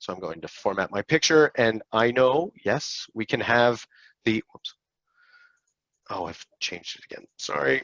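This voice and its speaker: At a fairly slow pace, a man with an unremarkable speaking voice at medium pitch talks with lively intonation. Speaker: accessibility software company executive presenting a webinar. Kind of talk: webinar tutorial with live software demo. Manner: casual with fillers and self-corrections.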